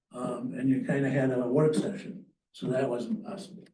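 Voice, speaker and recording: A man's voice comes through with audible room echo. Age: 80s+. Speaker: landowner speaking at public comment. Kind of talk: public comment at a county meeting. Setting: county planning commission meeting.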